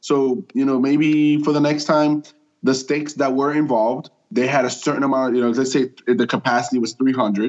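At a moderate pace, a man with an ordinary speaking voice talks in a medium pitch, with fairly even intonation and very even loudness. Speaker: podcast co-host. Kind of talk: casual chat.

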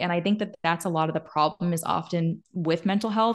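A woman with a plain, everyday voice and a fairly low pitch speaks at a fairly quick pace. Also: quiet background. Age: 20s. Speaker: podcaster and mental health speaker. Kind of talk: casual interview.

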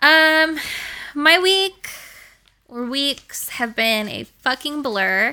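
A woman's high, bright, sharp, raised and projected voice with lively intonation, a very slow pace and long, frequent pauses, on a very clean recording with a silent background. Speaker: podcast host, dog groomer. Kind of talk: casual chat, podcast.

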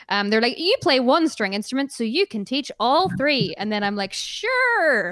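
With an American accent, a woman talks at a high pitch with very wide pitch swings. She leaves hardly any pauses, and noticeable background noise is present. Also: moderate pace. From Northern Ireland. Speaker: musician. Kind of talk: casual interview. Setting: video call, remote interview.

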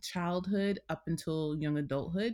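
A woman with an American accent, a fairly low pitch and an ordinary speaking voice, at a moderate pace on a very clean recording with a silent background. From New York City, Queens. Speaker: therapist and wellness coach. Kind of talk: interview.

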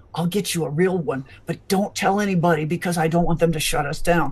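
A quiet, raspy put-on character voice at a middle pitch moves along at a fairly quick pace. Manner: conspiratorial, hushed.

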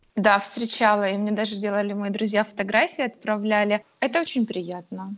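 This is a woman with an unremarkable speaking voice at a medium pitch. She talks at a moderate pace with ordinary pitch variation. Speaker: illustrator. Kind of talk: interview. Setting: remote call.

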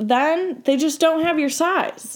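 A woman speaks with an American accent. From Michigan. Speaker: college student, guest. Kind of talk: casual chat.

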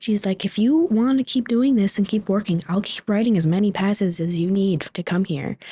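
Somewhat breathy and fairly quick, a woman talks with an American accent and ordinary pitch variation. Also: medium pitch for a woman. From Superior, Wisconsin, US Upper Midwest. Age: 20s. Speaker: manufacturing worker. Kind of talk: interview.

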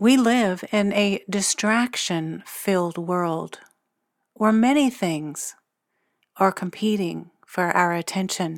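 In a soothing, calm tone, the speaker talks at a very slow pace with ordinary pitch variation on a very clean recording with a silent background. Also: woman, medium pitch for a woman. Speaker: psychic medium and meditation guide. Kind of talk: guided meditation. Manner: slow, soothing, calm and gentle, with long pauses; hushed, hypnotic, unhurried cadence.

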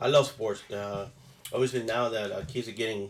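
Over noticeable background noise, a man rattles along at a very fast pace, medium in pitch and monotone, flat in intonation. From Puerto Rico. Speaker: guest, transportation professional. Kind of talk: casual chat.

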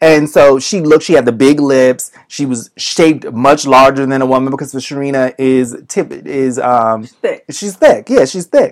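A man with an American accent speaks in a normal speaking voice at a moderate pace, with hardly any pauses. His pitch is fairly high with fairly even intonation, while his loudness swings a lot. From Boston. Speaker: podcast co-host. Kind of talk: casual chat.

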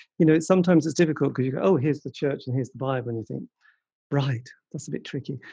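Over a quiet background, a man talks at a very fast pace with a fairly high pitch, a dark, mellow tone, some breathiness, ordinary pitch variation and big swings in loudness. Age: 50s. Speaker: podcast host. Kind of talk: casual interview.

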